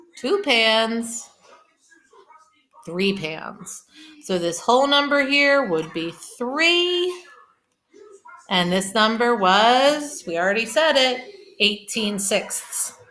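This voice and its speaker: In a room with audible echo, a woman with a fairly high pitch speaks at a very slow pace, with very wide pitch swings and long, frequent pauses. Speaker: elementary school teacher. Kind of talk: recorded math lesson for kids. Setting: at home. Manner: slow, explanatory.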